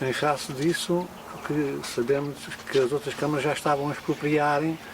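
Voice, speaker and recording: Here a man speaks at a fairly high pitch and a moderate pace. Noticeable background noise sits behind him. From Portugal, Alentejo (Elvas area). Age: 80s+. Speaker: local elder. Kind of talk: oral history interview. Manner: halting.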